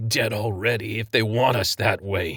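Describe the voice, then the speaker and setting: Using a put-on character voice, a man speaks at a moderate pace with a raspy sound and fairly even intonation. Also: medium pitch for a man. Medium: read story. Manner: earnest, honest.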